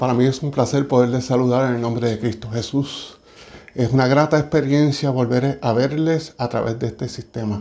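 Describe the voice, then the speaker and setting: A man's medium-pitched voice with a dark, mellow tone, fairly even intonation, a moderate pace, and audible room echo. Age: 60s. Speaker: church speaker. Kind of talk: sermon. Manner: halting.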